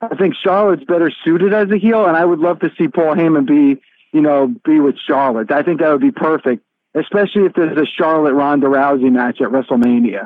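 A man with a normal speaking voice talks at a fairly quick pace and fairly high pitch. His intonation is lively, his loudness very even. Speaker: wrestling radio host. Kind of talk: interview. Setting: remote call.

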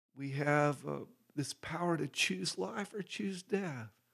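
A man with an American accent talks at a fairly high pitch with lively intonation. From Texas. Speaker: itinerant minister. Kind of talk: interview testimony.

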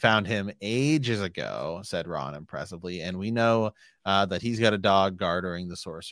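What you hear is plain reading aloud.

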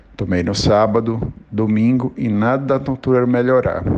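With noticeable background noise, a man talks fairly slowly at a medium pitch with ordinary pitch variation. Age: 40s. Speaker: businessman, multiple sclerosis patient. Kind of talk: personal testimony.

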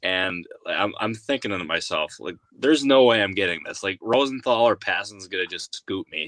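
A man with a normal speaking voice, fairly low in pitch, lively intonation, a moderate pace, dry, close sound with no echo and a quiet background. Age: 20s. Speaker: baseball insider journalist. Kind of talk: casual chat.

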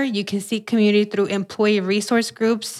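A woman with an American accent, medium in pitch, fairly quick, monotone and flat in intonation, on a very clean recording with a silent background. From US, first generation American. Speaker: financial educator. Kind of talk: interview.

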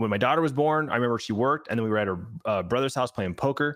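A man at medium pitch uses an ordinary speaking voice with ordinary pitch variation. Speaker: podcast co-host. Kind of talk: casual chat. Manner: casual, rambling.

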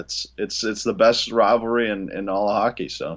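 A man with an ordinary speaking voice, medium in pitch, at a fairly quick pace. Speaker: hockey podcast co-host. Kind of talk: casual hockey podcast chat.

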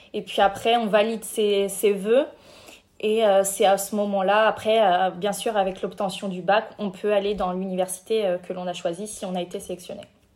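The speaker talks at a moderate pace in a monotone, flat intonation. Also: woman, medium pitch for a woman. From France, Cognac. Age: 20s. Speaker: intern and master's student. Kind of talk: interview.

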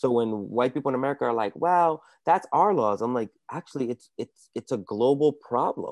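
Here a man talks at a fairly quick pace in a plain, everyday voice of medium pitch. The sound is dry and close with no echo against a quiet background. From Dominican Republic, raised in US from childhood. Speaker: comedian. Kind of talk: casual chat.

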